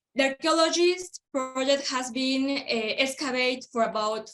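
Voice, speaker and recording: Speaking at a fairly slow pace, a woman with a high pitch talks in a Spanish accent. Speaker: archaeologist. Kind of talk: panel presentation. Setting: video call. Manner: halting.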